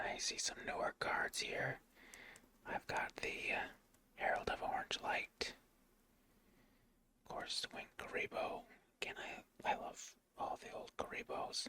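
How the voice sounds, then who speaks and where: Whispering, a man speaks fairly slowly, leaving long, frequent pauses. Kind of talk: casual ASMR talk to camera about a card collection. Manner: soft-spoken, whispered.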